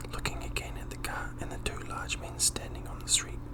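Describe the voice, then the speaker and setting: Whispering and soft-spoken, a man talks at a moderate pace. Noticeable background noise sits behind him. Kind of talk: audiobook-style fiction reading. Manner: soft-spoken, whispery.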